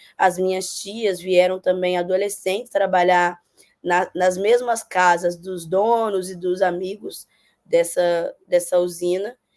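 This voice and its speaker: The pace is very slow. Intonation stays flat and monotone throughout. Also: woman, medium pitch for a woman. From Brazil, Minas Gerais. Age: 30s. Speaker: political candidate and social worker. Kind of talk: interview. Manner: hesitant, many fillers.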